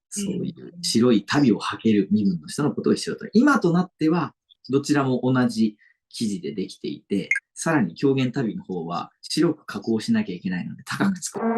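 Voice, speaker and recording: With vocal fry, big swings in loudness, and very wide pitch swings, a man speaks. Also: fairly high pitch for a man, moderate pace. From Sado Island, Niigata, Japan. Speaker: kyogen actor. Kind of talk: interview answer. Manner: polite, explanatory.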